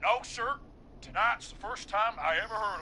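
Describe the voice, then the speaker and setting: A man puts on a high-pitched character voice with a drawl, at a moderate pace with ordinary pitch variation and big swings in loudness. Clear background noise runs behind him. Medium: video game. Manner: casual, drawling, says man a lot.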